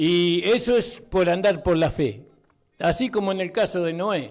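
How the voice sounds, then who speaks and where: Here is a man with a high-pitched voice. His pitch varies in an ordinary way. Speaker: pastor, radio preacher. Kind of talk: sermon, preaching on the radio.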